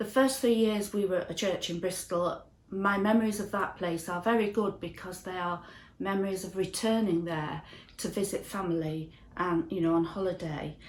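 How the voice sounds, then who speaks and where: This woman speaks with a Yorkshire accent at a moderate pace. Her pitch is medium, with ordinary variation. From northern England, Ossett, West Yorkshire. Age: 60s. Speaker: church member. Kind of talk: testimony.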